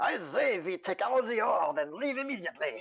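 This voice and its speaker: Extremely high pitch in a man's put-on character voice, moderately paced. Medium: actual play. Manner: blunt, greedy.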